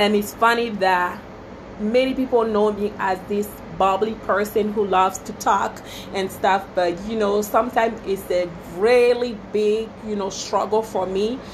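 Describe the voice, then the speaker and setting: With noticeable background noise, a woman speaks at a fairly slow pace at medium pitch in a monotone, flat intonation. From Togo, West Africa. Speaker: small business owner, wedding planner. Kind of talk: casual Facebook live talk. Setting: Facebook live video. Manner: chatty, many fillers.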